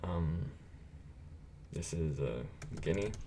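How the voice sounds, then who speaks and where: Audible room echo surrounds the voice of a man. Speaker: gaming streamer. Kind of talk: live stream commentary. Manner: casual, filler-heavy.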